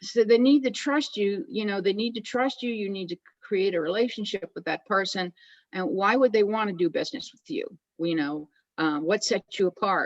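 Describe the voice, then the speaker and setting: A woman with a plain, everyday voice speaks at a moderate pace and medium pitch. Her loudness swings widely, and the sound is dry and close with no echo. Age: 60s. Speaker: direct seller, retired school teacher. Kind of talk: interview.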